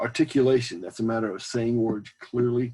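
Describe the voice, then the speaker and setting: A man with an American accent speaks at a medium pitch with a dark, mellow tone. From US South. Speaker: college speech instructor. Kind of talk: lecture. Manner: sometimes fast; hesitant, many fillers.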